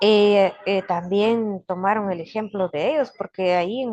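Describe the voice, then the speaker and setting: Moderately paced speech from a woman, medium in pitch with ordinary variation, in a dry, close sound with no echo. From Guatemala, Kaqchikel Maya community. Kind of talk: interview. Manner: halting.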